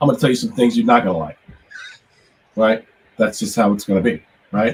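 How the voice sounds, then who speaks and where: A man talks at a very fast pace, his pitch swinging very widely. His voice is somewhat breathy. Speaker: music production professor. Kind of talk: online lecture.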